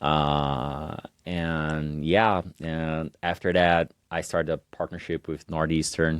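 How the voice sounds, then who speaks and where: With a Portuguese accent, a man speaks at a very slow pace in a very deep, low pitch with monotone, flat intonation. The sound is dry and close with no echo. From Brazil. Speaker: entrepreneur. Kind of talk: podcast interview. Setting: university lounge, in person. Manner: halting.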